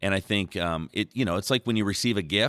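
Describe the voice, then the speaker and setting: In a very clean recording with a silent background and a dry, close sound with no echo, a man talks with vocal fry and ordinary pitch variation. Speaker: church podcast host. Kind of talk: devotional panel discussion. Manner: joking, casual.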